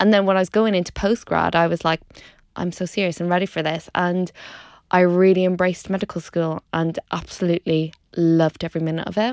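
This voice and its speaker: In an Irish accent, the speaker moves at a fairly quick pace with monotone, flat intonation. The recording is very clean with a silent background, and the sound is dry and close with no echo. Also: woman, fairly low pitch for a woman. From Ireland, Dundalk. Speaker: doctor and food blogger. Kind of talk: casual interview chat. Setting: studio.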